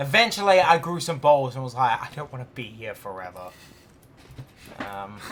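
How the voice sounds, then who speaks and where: Speaking at a moderate pace and medium pitch, a man uses very wide pitch swings and big swings in loudness, with long, frequent pauses. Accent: Australian. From Australia. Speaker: gaming streamer. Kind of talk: casual chat while gaming. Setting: live stream.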